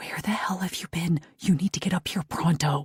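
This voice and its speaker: A breathy, put-on character voice at a middle pitch moves along at a moderate pace. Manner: urgent, strange.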